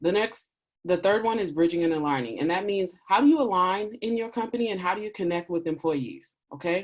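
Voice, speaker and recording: A woman talks at a fairly quick pace with lively intonation. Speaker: diversity and inclusion consultant. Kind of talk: webinar Q&A talk. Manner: fast.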